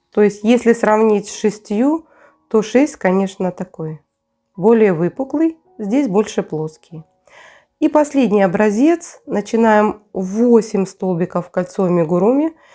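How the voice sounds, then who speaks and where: Music in the background behind a woman's fairly high voice, very slow in pace and lively in intonation. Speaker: crochet tutorial creator. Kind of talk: tutorial. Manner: casual, conversational.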